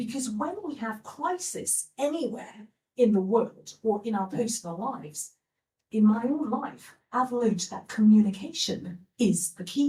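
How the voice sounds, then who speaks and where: A woman's dark, mellow tone with a fairly high pitch, lively intonation and a fairly slow pace. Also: big swings in loudness. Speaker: vocal coach. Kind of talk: live inspirational talk. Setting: live stage. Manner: loud, interactive.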